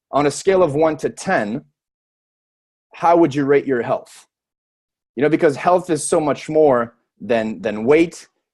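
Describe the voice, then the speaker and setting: A man with a French Canadian accent speaks at a moderate pace, his fairly high pitch carried by lively intonation. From Quebec, Montreal. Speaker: network marketer and personal trainer. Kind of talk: sales pitch. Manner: hesitant, some stumbling.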